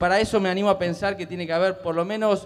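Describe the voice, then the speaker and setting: A man's voice sits at a high pitch and varies in an ordinary way. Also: quiet background. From Buenos Aires province, Argentina. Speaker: public ombudsman; public panelist. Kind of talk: speech at panel. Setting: theatre stage with audience. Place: stage. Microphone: handheld.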